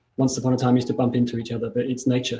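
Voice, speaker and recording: A man's voice at medium pitch, dark and mellow in tone, somewhat breathy. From overseas, not Australia. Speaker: mindfulness leader. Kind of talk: panel discussion.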